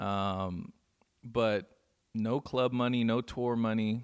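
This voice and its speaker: A normal speaking voice with fairly even intonation in a very clean recording with a silent background. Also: man. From Inland Empire, Southern California. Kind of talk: casual interview chat.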